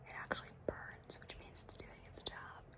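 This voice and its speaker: A woman whispering at a moderate pace over noticeable background noise. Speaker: ASMR content creator. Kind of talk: ASMR whisper ramble, personal attention. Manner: whispered, soft-spoken, rambling.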